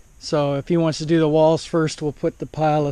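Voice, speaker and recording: With a dark, mellow tone, this man talks at a moderate pace. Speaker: home builder vlogger. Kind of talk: casual video tour narration. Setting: indoors in an unfinished house, quiet. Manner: halting, many fillers; loud.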